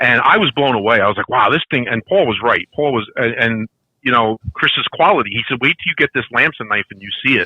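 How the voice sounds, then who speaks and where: With a Brooklyn accent, a man talks at a fairly quick pace and medium pitch, using ordinary pitch variation. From Brooklyn, New York. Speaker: podcast guest, figure collector. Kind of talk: casual chat. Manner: talkative.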